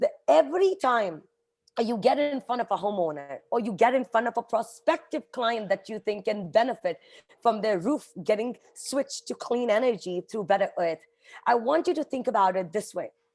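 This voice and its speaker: With an Indian accent, a woman talks at a moderate pace in a fairly high pitch. Her tone is animated and her intonation lively, on a very clean recording with a silent background. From India, Mumbai. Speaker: nonprofit executive. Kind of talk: motivational talk.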